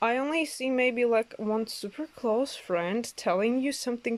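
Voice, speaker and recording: A woman speaks with a non-native accent at a fairly slow pace. Her pitch varies in an ordinary way. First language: not English. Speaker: tarot reader. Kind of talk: oracle card reading. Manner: halting, many fillers.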